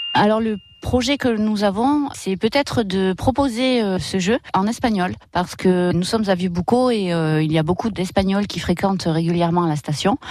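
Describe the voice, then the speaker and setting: Noticeable background noise behind a woman at medium pitch, moderate in pace, lively in intonation, with hardly any pauses. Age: 40s. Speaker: escape game manager. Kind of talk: radio interview testimony.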